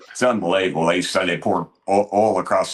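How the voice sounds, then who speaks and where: Talking at a very fast pace, a man with a Tennessee accent keeps an animated tone. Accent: Southern US (Tennessee). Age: 60s. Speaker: congressman. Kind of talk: political talk show interview. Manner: animated, folksy storytelling.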